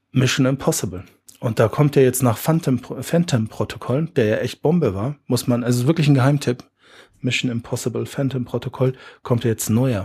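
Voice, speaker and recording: A man talks at a moderate pace in a medium pitch, his dark, mellow tone somewhat breathy and his pitch varying in an ordinary way. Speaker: podcast host. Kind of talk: casual chat.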